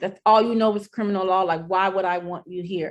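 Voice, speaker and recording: A woman speaks in an American accent. Her pitch sits in the medium range. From Santa Ana, California. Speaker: paralegal. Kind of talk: panel interview.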